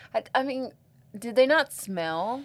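A woman speaks at a fairly slow pace with a slight Southern US accent. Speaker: podcast co-host. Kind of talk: casual banter, reading stories aloud.

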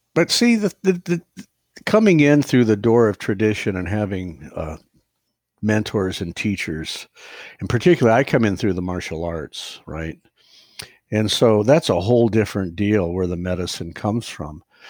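This man has a fairly low pitch, a normal speaking voice and an American accent, talking at a moderate pace with lively intonation and big swings in loudness on a very clean recording with a silent background. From US Midwest, Ohio. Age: 60s. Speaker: acupuncturist and psychotherapist. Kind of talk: casual chat.

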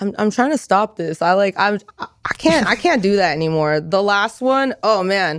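With an American accent, a woman uses an ordinary speaking voice at medium pitch, keeping a moderate pace and lively intonation with hardly any pauses. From California, Merced area (Central Valley). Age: 20s. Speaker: adult content creator. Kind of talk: casual chat. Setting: studio.

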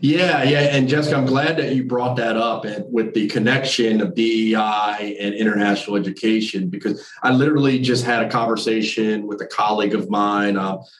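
A man with an American accent and a plain, everyday voice, medium in pitch with ordinary pitch variation, at a moderate pace. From New Jersey. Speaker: university admissions director. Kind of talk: interview conversation.

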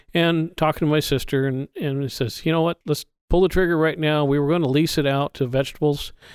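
The speaker talks at a fairly quick pace with an American accent, in a monotone, flat intonation at very even loudness, on a very clean recording with a silent background and a dry, close sound with no echo. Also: man. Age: 60s. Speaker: almond grower. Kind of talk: casual interview conversation.

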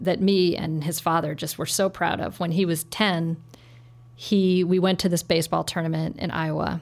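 In a very clean recording with a silent background, a woman talks at a moderate pace in a fairly low pitch with flat, monotone intonation. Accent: American. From US Upper Midwest, Saint Paul, Minnesota. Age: 40s. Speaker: nonprofit CEO. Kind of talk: interview.

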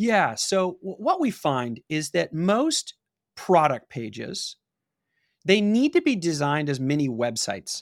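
A high-pitched man with an American accent, very wide pitch swings and a fairly slow pace, on a very clean recording with a silent background and a dry, close sound with no echo. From Los Angeles, California (Pasadena). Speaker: e-commerce marketing agency founder. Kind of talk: interview.

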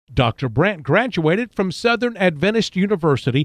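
Speaking at a fairly quick pace with lively intonation, a man is heard dry and close with no echo over a quiet background. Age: 50s. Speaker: health program host. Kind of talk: radio interview. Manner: scripted announcer reading.

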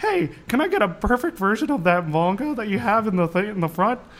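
Using a put-on character voice, a man sounds whiny and pitched high. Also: moderate pace. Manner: nerdy, whiny.

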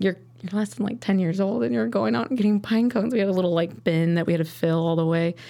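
Speaking in a Midwestern US accent at a very fast pace, a woman uses a fairly low pitch and a dark, mellow tone, her loudness very even while her pitch swings very widely. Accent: US Midwest. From Chicago suburbs and rural Wisconsin. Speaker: sommelier. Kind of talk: interview.

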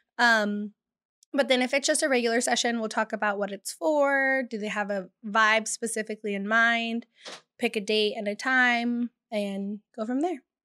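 A woman speaks at a moderate pace in a bright, sharp tone, her fairly high voice following a fairly even intonation in a dry, close recording with no echo. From California (Bakersfield). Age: 20s. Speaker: photographer. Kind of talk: casual chat.

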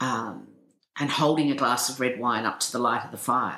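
Bright, sharp tone with ordinary pitch variation and audible room echo. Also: woman. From England, moved to Tasmania at 15. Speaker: novelist and TV producer. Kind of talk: interview.

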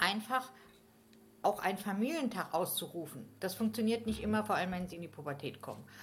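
A somewhat breathy woman's voice at a medium pitch, fairly quick, with lively intonation and big swings in loudness. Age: 50s. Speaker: game facilitator. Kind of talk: casual chat. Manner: hesitant, many fillers.

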